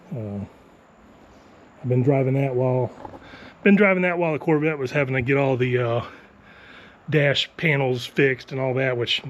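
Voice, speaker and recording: A man speaks at a moderate pace with a medium pitch and an American accent. His pitch varies in an ordinary way, with long, frequent pauses. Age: 50s. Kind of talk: casual talk to camera, home tour.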